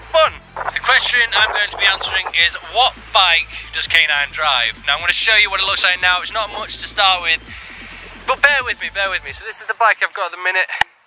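A man's high-pitched voice at a fairly quick pace, lively in intonation, dry with no echo, music in the background. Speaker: vlogger. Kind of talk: casual vlog chat. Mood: cheerful, upbeat. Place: open country. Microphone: phone near.

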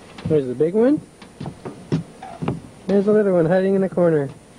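The speech moves at a fairly quick pace. The sound is dry with no echo, and music plays in the background. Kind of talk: casual home video narration. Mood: gentle, playful. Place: waterside. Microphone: old recording.

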